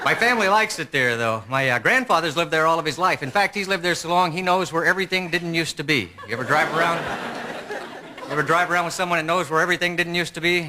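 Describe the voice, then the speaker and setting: A man with an American accent talks at a very fast pace in a high pitch with ordinary pitch variation. Noticeable background noise is present. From Texas (Lubbock). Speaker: stand-up comedian. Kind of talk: stand-up.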